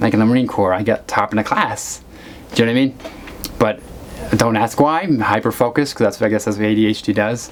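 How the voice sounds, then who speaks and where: A man at a medium pitch speaks very fast yet leaves long, frequent pauses, his intonation fairly even and his loudness very even. Noticeable background noise is present. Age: 40s. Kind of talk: casual talk to camera. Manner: rambling, halting, many fillers.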